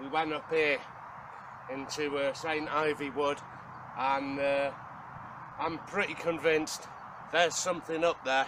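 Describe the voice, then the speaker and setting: A man with a Welsh accent, fairly high-pitched, at a fairly slow pace, monotone and flat, with long, frequent pauses. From Wales. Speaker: outdoor survival vlogger. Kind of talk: casual vlog talk to camera. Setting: outdoors in the woods.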